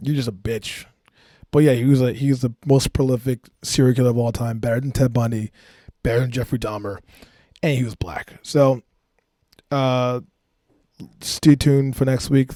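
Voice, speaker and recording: Long, frequent pauses break up a man's dark, mellow voice, and his intonation stays fairly even. The recording is very clean, with a silent background and a dry, close sound with no echo. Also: medium pitch for a man. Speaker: comedian. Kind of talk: comedic monologue. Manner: fast; casual.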